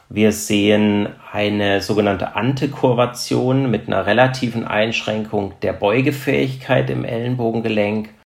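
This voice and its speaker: With noticeable background noise, a man talks at a fairly low pitch with ordinary pitch variation and hardly any pauses. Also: moderate pace. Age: 40s. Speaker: trauma surgeon. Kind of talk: expert interview. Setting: remote recording over the internet.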